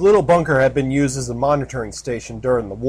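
A natural voice reads aloud. Its pitch moves in an ordinary way.

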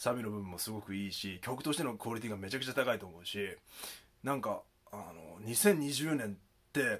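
With ordinary pitch variation and big swings in loudness, a man speaks at a fairly quick pace. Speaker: YouTuber; rap commentary vlogger. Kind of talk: video commentary. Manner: calm and earnest. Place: home room.

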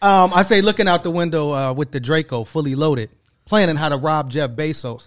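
An unremarkable speaking voice moves at a moderate pace with ordinary pitch variation. The background is quiet. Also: man, fairly high pitch for a man. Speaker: podcast host and media company founder; podcast host. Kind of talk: casual interview chat. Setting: studio. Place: studio. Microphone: studio mic.

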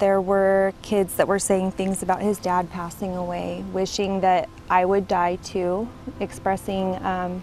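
Music plays behind a woman speaking at a fairly slow pace. Her intonation is monotone and flat, and the sound is dry with no echo. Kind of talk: interview answer. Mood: serious, troubled. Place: garden. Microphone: lapel.

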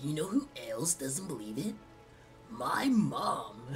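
Clear music plays behind a put-on character voice at a middle pitch, delivered at a fairly slow pace. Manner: dumb, bro-ish.

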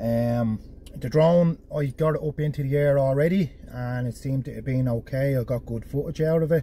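Dry with no echo and light background noise, this man's voice has a dark, mellow tone, a somewhat breathy quality, fairly even intonation and a moderate pace. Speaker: travel vlogger. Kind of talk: casual vlog chat. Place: car. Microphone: phone near.

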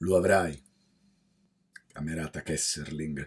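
In front of a quiet background, a man speaks in a solemn tone at a fairly slow pace. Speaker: cultural magazine editor. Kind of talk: poem read aloud, solemn civic commemoration of the Resistance. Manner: solemn, defiant, measured declamation with weighty pauses; formal, rising and forceful, addressing the enemy directly. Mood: solemn, defiant. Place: home room. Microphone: studio mic.

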